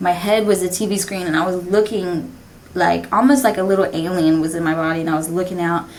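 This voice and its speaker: Very fast and fairly even in intonation, a woman's fairly low-pitched voice carries audible room echo. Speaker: podcast host. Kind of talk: casual monologue. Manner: halting.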